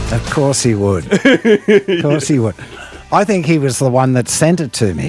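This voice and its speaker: A man's fairly high voice with an Australian accent, very wide pitch swings and a fairly slow pace, over music in the background. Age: 70s. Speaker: singer. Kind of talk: interview answer. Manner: casual, conversational.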